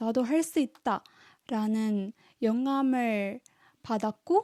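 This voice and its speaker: Speaking with a Tamil accent, a woman has a high pitch and a dark, mellow tone in a very clean recording with a silent background and a dry, close sound with no echo. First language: Tamil (speaking Korean). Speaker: language-learning YouTuber. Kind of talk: vlog monologue.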